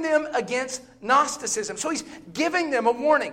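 Someone with an American accent talks at a moderate pace over noticeable background noise. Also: man. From US South, Bible Belt. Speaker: visiting preacher. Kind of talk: sermon. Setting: church. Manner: loud; animated.

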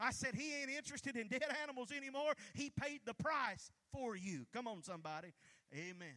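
A man's raised, projected voice, extremely high in pitch, bright and sharp in tone, with lively intonation at a moderate pace. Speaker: pastor. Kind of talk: sermon; fervent prayer, fervent and pleading, spoken aloud to God in a preaching cadence. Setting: church. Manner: fervent, impassioned, repeating phrases with rising intensity.

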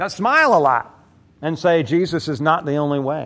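With a fairly high pitch, a man talks at a moderate pace. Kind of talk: sermon. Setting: church. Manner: animated, rhetorical, crowd-engaging.

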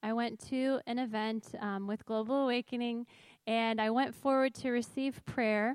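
A woman with an ordinary speaking voice talks at a moderate pace in a fairly high pitch with fairly even intonation. The sound is dry and close with no echo. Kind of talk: testimony. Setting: church stage with audience.

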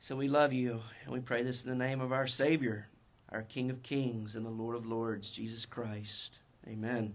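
With a North Carolina accent, a man speaks at a medium pitch in a monotone, flat intonation. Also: moderate pace. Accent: North Carolina Southern US. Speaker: Baptist pastor. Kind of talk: sermon. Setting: church with congregation.

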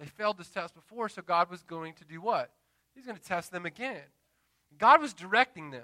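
A man with a high pitch speaks at a fairly quick pace, with very wide pitch swings. His tone is bright and sharp, and the sound is dry and close with no echo. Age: 30s. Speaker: pastor. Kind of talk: Sunday-morning sermon, conversational evangelical preaching with call-and-response amens. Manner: earnest, building exhortation with repeated punchy refrains; relaxed and chatty, with filler words and self-deprecating asides.

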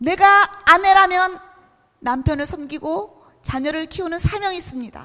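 A raised, projected voice at a fairly slow pace with lively intonation. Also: woman, extremely high pitch for a woman. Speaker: missionary. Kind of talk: sermon. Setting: church.

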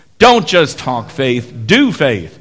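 With music in the background, a man talks in a fairly high voice. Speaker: pastor. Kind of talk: liturgy and benediction. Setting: church.

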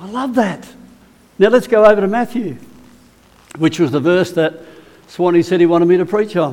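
With lively intonation and a high pitch, a man speaks at a moderate pace, leaving long, frequent pauses. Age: 70s. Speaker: preacher. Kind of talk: sermon. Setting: church.

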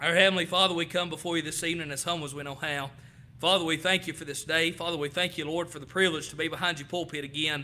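Very fast, fairly high-pitched speech from a man in a Southern US accent, bright and sharp in tone, monotone and flat, with big swings in loudness. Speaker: preacher. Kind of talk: sermon. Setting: church.

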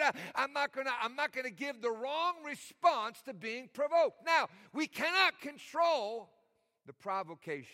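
In a dry, close recording with no echo, a man with an extremely high pitch uses a raised, projected voice, bright and sharp in tone, with lively intonation at a moderate pace. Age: 50s. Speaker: pastor. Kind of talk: sermon. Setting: church.

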